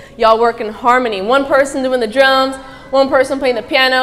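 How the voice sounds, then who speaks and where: A woman with a high, animated voice talks at a very fast pace amid audible room echo and noticeable background noise. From Middle East. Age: 20s. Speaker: motivational speaker, athlete. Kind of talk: motivational talk to live audience.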